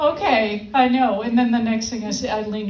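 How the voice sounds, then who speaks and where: With an American accent, a woman speaks at a moderate pace and a fairly high pitch. Noticeable background noise runs underneath. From Iowa, US Midwest. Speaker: stand-up comedian. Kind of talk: live stand-up comedy set.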